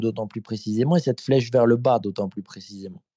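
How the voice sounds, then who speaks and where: Dry, close sound with no echo carries a man's dark, mellow tone. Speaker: philosophical commentator. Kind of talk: live podcast debate. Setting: remote call with lag. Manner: formal; repeats words, hesitant starts.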